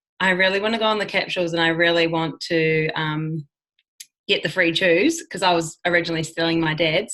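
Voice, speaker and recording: Her fairly low voice has a bright, sharp tone, fairly even intonation and a moderate pace. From New Zealand. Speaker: network marketer. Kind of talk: casual talk.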